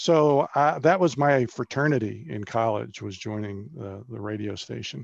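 A man with an American accent has an unremarkable speaking voice at medium pitch, lively intonation and big swings in loudness. He talks at a moderate pace with hardly any pauses against a quiet background. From Maryland, US. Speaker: filmmaker and radio journalist. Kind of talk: interview. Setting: video call.

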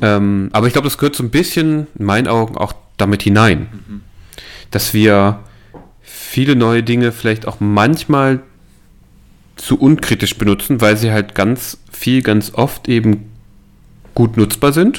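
A man talks at a fairly slow pace, leaving long, frequent pauses. His pitch is medium, with ordinary variation. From eastern Germany (Saalekreis near Halle). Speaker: podcast co-host. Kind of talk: casual chat.

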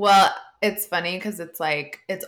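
The speaker is a woman. She moves through her words at a fairly quick pace. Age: 30s. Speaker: podcast co-host. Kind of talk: casual chat. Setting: home, remote recording. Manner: loud.

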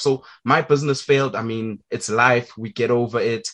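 Using a normal speaking voice, a man with a medium pitch speaks with ordinary pitch variation. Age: young. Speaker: podcast host. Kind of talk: interview.

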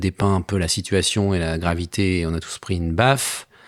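This man is heard on a very clean recording with a silent background. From Savoie. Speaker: advertising professional, former citizen assembly member. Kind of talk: interview testimony. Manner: animated.

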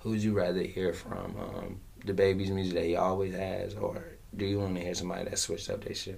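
With audible room echo, a man's very deep, low voice rushes at a very fast pace in monotone, flat intonation. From US South, Fayetteville, North Carolina. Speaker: rapper. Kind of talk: casual interview.

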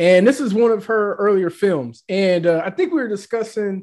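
A man talks at a moderate pace in a very clean recording with a silent background. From Tennessee, Nashville. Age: 40s. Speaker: podcast host. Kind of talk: casual chat.

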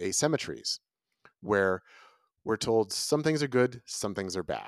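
A man with an unremarkable speaking voice and an American accent, medium pitch, ordinary pitch variation and moderate pace, in a very clean recording with a silent background. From Northern California. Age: 50s. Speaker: author. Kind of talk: interview.

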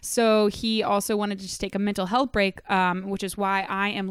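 A woman with a plain, everyday voice speaks at a medium pitch and a moderate pace. The sound is dry and close with no echo, and the recording is very clean with a silent background. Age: 20s. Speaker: soccer podcast host. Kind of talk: casual chat. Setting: home living room studio.

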